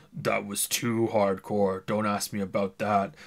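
Putting on a character voice, a man talks at a moderate pace with a fairly low pitch, a gruff, raspy sound and fairly even intonation. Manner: comically gruff, dismissive.

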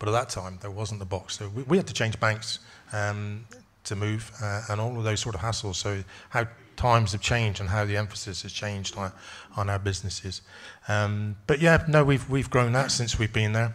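Using a normal speaking voice, a man talks at a fairly quick pace with a fairly low pitch and ordinary pitch variation. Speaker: dairy farmer. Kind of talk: conference panel talk. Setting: stage with audience. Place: hall. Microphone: studio mic.

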